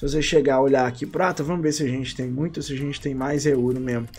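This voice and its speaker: This is a man speaking. He has a Brazilian accent. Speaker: gaming YouTuber. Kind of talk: casual video commentary on game trading. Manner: informal, slangy.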